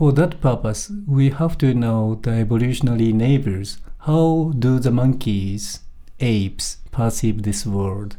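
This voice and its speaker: With a Japanese accent, a man speaks at a medium pitch with ordinary pitch variation. His tone is dark and mellow. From Japan, Tokyo area. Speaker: primatologist. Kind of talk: interview. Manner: halting.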